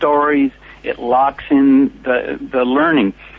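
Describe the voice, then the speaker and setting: Speaking with an American accent, a man with a fairly high pitch shows ordinary pitch variation while noticeable background noise carries on behind him. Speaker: speakers bureau founder.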